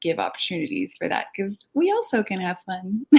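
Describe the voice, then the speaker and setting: Her intonation is lively and her pitch medium for a woman. She talks at a moderate pace. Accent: French. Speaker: filmmaker. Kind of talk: casual online interview.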